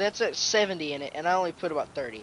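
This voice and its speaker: A man talks at a fairly high pitch with ordinary pitch variation. Background noise is noticeable. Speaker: gamer. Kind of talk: game commentary. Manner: fast.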